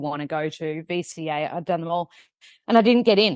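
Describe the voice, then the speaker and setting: In a strong Australian accent, a woman talks at a fairly quick pace and fairly low pitch. The sound is dry and close with no echo, and the background is quiet. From Australia (Melbourne). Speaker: nutritionist, TV host and author. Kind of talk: podcast interview. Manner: fast.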